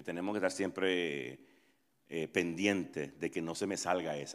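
A man with a very deep, low pitch and lively intonation, on a very clean recording with a silent background. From Nicaragua. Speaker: pastor. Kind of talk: interactive workshop talk. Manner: halting.

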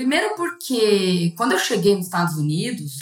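A woman's somewhat breathy, fairly low voice. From interior of São Paulo state, Brazil. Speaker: corporate lawyer. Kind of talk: casual interview.

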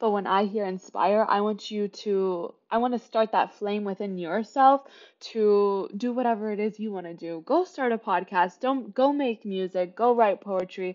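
A woman with an American accent has a plain, everyday voice at a medium pitch. She speaks at a moderate pace with ordinary pitch variation. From Kansas City, Kansas (US Midwest). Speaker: podcast host, student. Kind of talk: casual solo monologue. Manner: chatty, laughing often.

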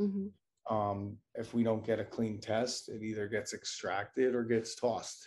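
At a moderate pace, a man speaks at medium pitch in an unremarkable speaking voice. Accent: American. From New Jersey, rural county. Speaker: cannabis sales manager. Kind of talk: casual interview.

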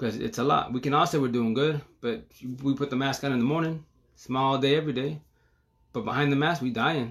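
Talking at a very fast pace, a man speaks with a fairly high pitch. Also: ordinary pitch variation. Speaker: livestreamer talking about breakups and healing. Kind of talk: casual livestream monologue. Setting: Facebook live stream. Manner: fast, especially when excited; halting, many repetitions.

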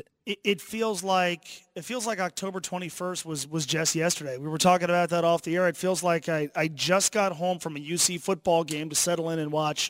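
The recording is very clean, with a silent background. A man with a high pitch speaks at a moderate pace with fairly even intonation. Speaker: radio co-host. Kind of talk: radio interview show. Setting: studio.

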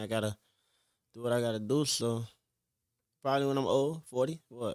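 Fairly even intonation marks a man's fairly quick speech. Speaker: rapper. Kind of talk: casual chat. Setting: studio.

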